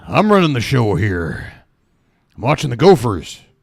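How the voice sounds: Using a put-on character voice, a man speaks at a moderate pace. His medium-pitched voice makes very wide pitch swings.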